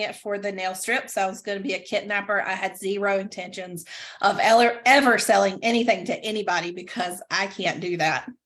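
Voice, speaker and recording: A woman speaks with a Southern accent at a medium pitch. Her pace is moderate and her intonation fairly even. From US South, Greenville, North Carolina. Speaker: direct sales stylist. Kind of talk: casual video chat interview. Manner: halting with many fillers.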